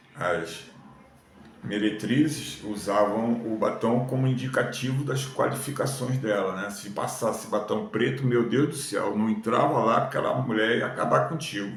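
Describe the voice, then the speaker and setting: Noticeable background noise and audible room echo surround speech at a moderate pace with ordinary pitch variation. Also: man, medium pitch for a man. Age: 70s. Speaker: YouTuber. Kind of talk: casual talk to camera. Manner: casual conversational.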